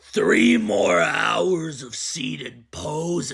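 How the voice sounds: A growling, cartoonish character voice at a middle pitch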